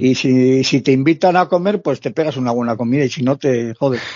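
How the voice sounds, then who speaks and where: With an ordinary speaking voice, a man talks at medium pitch and ordinary pitch variation. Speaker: long-term traveller. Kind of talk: interview.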